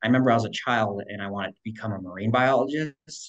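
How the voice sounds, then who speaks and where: This is a plain, everyday voice at a fairly quick pace. The background is quiet. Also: man. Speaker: podcast guest. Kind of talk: interview answer. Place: home room. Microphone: video call.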